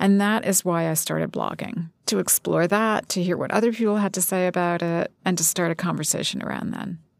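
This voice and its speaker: This is a woman with an unremarkable speaking voice, pitched fairly low. She barely pauses and keeps her intonation fairly even. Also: fairly quick pace. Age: 50s. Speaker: magazine editor and author. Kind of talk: interview. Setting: studio.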